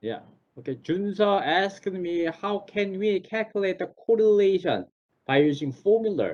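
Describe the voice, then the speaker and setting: With a Korean accent, a man talks at a moderate pace in a high voice, using ordinary pitch variation. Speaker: professor. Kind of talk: online class Q&A. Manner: halting.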